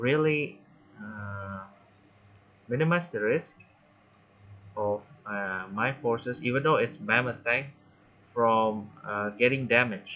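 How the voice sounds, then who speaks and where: A man speaks at a very slow pace with a non-native accent. His medium pitch shows ordinary variation, broken by long, frequent pauses. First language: not English. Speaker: gaming tutorial creator. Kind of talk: gameplay tutorial commentary. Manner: halting, many fillers.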